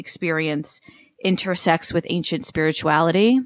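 Fairly quick woman's speech with ordinary pitch variation and a dry, close sound with no echo. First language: Italian. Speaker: podcast host. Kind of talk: scripted monologue; casual interview.

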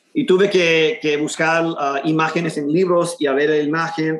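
A man's fairly even intonation holds at a moderate pace. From Houston, Texas. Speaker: muralist. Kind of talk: interview. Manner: halting, many repetitions.

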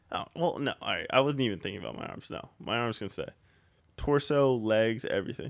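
Recorded very cleanly against a silent background, a man speaks fairly quickly in an unremarkable speaking voice, at medium pitch with ordinary pitch variation. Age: 20s. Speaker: podcast co-host. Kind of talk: casual chat. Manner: laughs often.

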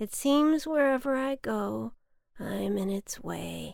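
A woman's put-on character voice with vocal fry, a slightly mellow tone, lively intonation and a slow pace. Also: fairly high pitch for a woman.

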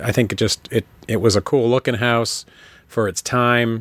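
A normal speaking voice delivers words at a fairly slow pace. The sound is dry and close with no echo, on a very clean recording with a silent background. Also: man. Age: 40s. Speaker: podcaster guest. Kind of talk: casual chat.

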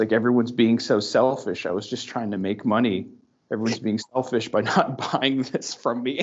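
A whiny put-on character voice from a man, medium in pitch, with fairly even intonation and a moderate pace. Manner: mock crying, whiny.

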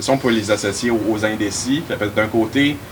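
Fairly low-pitched male speech at a fairly quick pace, with noticeable background noise. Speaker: university student and riding assistant. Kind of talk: casual panel discussion.

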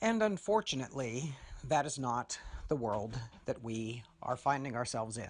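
Here is a man with an unremarkable speaking voice at medium pitch. He talks at a moderate pace with lively intonation. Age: 50s. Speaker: podcast host. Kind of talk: solo monologue.

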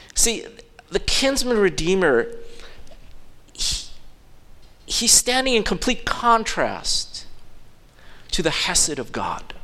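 A man at a very slow pace with long, frequent pauses, plus noticeable background noise and audible room echo. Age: 50s. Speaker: pastor. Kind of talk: sermon; impassioned Father's Day sermon, voicing God's offer of grace in an evangelistic appeal. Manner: conversational with frequent fillers and false starts; fervent, building appeal with repeated phrases and hesitant restarts.

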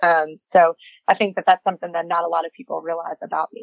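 This woman's voice sits fairly low. The sound is dry and close, with no echo. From Kentucky, Louisville area. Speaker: volleyball coach and author. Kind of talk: casual interview.

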